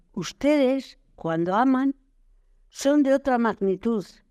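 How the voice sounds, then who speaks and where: A woman speaks very slowly with lively intonation. The recording is very clean, with a silent background. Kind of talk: poetry reading. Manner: rhythmic, playful, defiant.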